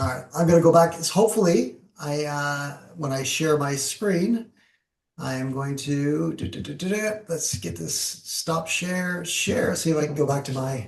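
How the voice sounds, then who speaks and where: Here a man talks in a fairly high pitch with ordinary pitch variation. His voice sounds somewhat breathy. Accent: Canadian. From Canada. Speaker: professional speaker and presenter. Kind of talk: webinar presentation with Q&A. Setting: video call, LinkedIn Live. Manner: fast.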